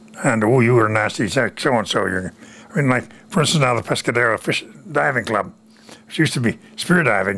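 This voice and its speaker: This voice has a bright, sharp tone, lively intonation and a fairly quick pace. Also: man, medium pitch for a man. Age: 90s. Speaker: war veteran. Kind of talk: interview. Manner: halting.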